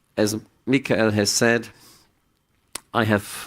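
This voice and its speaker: A man with a German accent, fairly low pitch, and a very slow pace on a very clean recording with a silent background. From Germany. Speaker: psychiatrist. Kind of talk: conference talk. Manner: halting, with repetitions.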